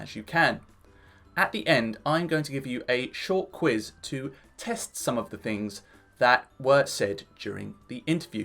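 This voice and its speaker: A fairly high-pitched man with a British accent, very wide pitch swings and a moderate pace, with music in the background. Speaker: English teacher. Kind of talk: casual talk to camera. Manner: upbeat.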